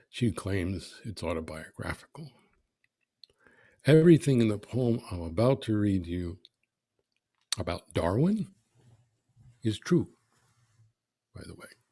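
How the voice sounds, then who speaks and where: A somewhat breathy man with a dark, mellow tone and a fairly low pitch speaks at a fairly slow pace, with very wide pitch swings, big swings in loudness and long, frequent pauses. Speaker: poet. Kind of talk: poetry reading.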